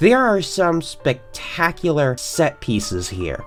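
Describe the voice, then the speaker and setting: Over background music, a woman speaks at a fairly slow pace with very wide pitch swings. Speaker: film reviewer. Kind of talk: video essay film review.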